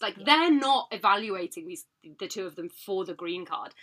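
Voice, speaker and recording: The voice has a British accent and a bright, sharp tone, with very wide pitch swings. The recording is very clean, with a silent background. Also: woman. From Britain. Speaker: podcast co-host. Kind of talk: casual chat.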